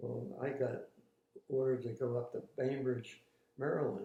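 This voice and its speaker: A man talks at a fairly slow pace in a medium pitch. His voice is somewhat breathy. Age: 80s+. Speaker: war veteran. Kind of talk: interview answer. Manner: hesitant.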